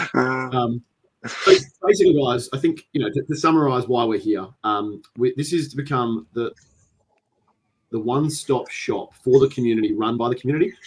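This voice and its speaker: Speaking in an Australian accent, a man keeps a moderate pace. His medium-pitched voice is somewhat breathy. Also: ordinary pitch variation. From Australia, Adelaide. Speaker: podcast host, tabletop gamer. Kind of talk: casual chat. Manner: halting, many fillers.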